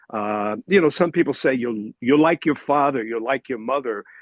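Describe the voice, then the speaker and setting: An unremarkable speaking voice from a man at medium pitch, with lively intonation. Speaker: discussion group member. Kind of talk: group discussion.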